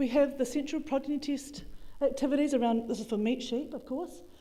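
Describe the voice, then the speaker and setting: Her tone dark and mellow, a woman with a New Zealand accent talks at a fairly quick pace and fairly even intonation, with audible room echo. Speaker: agricultural researcher. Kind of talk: conference talk. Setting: conference room with audience. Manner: fast.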